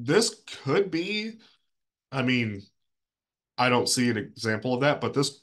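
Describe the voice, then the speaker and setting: A man speaks with very wide pitch swings. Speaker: librarian. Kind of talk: tutorial. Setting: video call. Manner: casual, hesitant with fillers.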